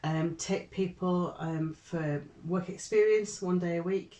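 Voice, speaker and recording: This woman's tone is dark and mellow. She talks at a fairly slow pace with monotone, flat intonation. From northern England, Barnsley (Yorkshire). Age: 60s. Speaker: Methodist deacon. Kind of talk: casual interview. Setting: office.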